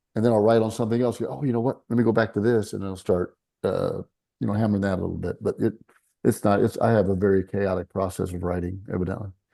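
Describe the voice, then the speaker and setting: Delivered at a very fast pace with an American accent, the voice has a dark, mellow tone. Intonation is fairly even, and the background is quiet. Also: man, fairly low pitch for a man. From Arkansas, Spain, New York and California. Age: 60s. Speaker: author and military veteran. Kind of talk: casual interview chat. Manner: halting, many fillers and restarts.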